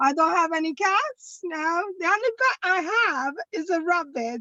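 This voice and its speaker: In a dry, close recording with no echo, a woman speaks at an extremely high pitch with lively intonation. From Italy. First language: Italian. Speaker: stand-up comedian. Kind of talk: stand-up. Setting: video call from a car.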